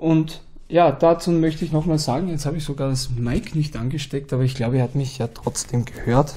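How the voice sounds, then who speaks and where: A man speaks at a moderate pace in a fairly high, somewhat breathy voice with fairly even intonation. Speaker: board game YouTuber. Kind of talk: solo video monologue. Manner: casual, filler-heavy.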